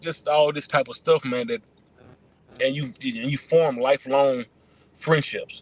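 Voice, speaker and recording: A man with a fairly high voice and ordinary pitch movement speaks at a fairly slow pace with long, frequent pauses, in a dry, close sound with no echo. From Atlanta, US South. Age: 40s. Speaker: former pro football player and trainer. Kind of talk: casual interview.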